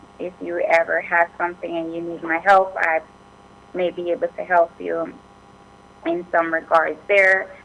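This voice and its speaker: A woman's voice broken by long, frequent pauses, with noticeable background noise. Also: moderate pace. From Jamaica. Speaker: immigration attorney. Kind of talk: radio interview.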